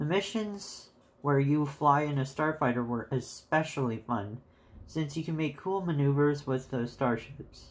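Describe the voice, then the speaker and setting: On a very clean recording with a silent background, a man's somewhat breathy, fairly high voice shows ordinary pitch variation. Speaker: game reviewer. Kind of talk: casual game review narration. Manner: pitch rises at times.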